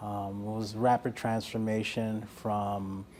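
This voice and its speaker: A man with an American accent speaks in a dark, mellow tone at a fairly low pitch, his intonation monotone and flat. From New York, South Bronx. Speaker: community member. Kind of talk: testimony.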